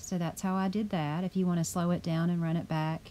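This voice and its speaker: With a dark, mellow tone, a woman speaks at a fairly quick pace in monotone, flat intonation. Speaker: video game builder, YouTuber. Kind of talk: tutorial home tour narration. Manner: casual, friendly.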